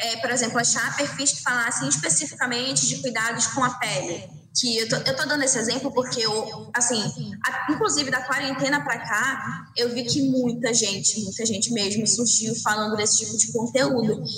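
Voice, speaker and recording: Lively intonation marks a woman's fairly high voice at a moderate pace. Room echo and background noise are both noticeable. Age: 20s. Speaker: influencer marketing agency manager. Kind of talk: casual interview.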